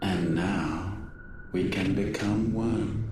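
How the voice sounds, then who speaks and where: A man with a fairly low pitch puts on a character voice, with a clear echo and loud background noise. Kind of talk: archaic formal speech. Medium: video game. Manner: grand, measured, detached.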